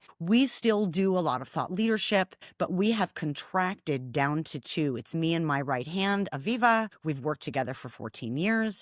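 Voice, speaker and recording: Speaking at a moderate pace with an American accent, a woman with a fairly low pitch makes very wide pitch swings in a very clean recording with a silent background. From US Midwest, Milwaukee. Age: 50s. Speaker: former marketing business owner. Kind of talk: interview.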